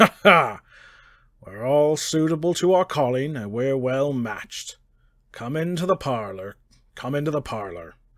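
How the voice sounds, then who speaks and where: In a put-on character voice, a man speaks at medium pitch and a moderate pace with lively intonation and long, frequent pauses, on a very clean recording with a silent background. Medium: read story. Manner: sly, wheedling, dialect speech.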